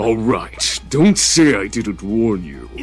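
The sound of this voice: With music in the background, a man does a put-on character voice at a very slow pace.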